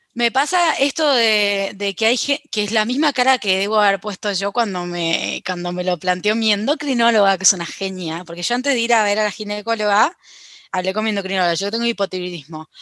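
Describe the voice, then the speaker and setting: A woman speaks in a Rioplatense accent at a medium pitch and a fairly quick pace. Her tone is bright and sharp, with ordinary pitch variation, in a dry, close sound with no echo. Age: 30s. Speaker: podcast guest. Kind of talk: casual chat.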